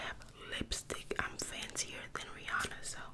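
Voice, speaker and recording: A soft-spoken woman talks at a fairly slow pace over loud background noise. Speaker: ASMR creator. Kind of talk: soft-spoken roleplay chat. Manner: soft close-mic ASMR voice. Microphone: studio mic.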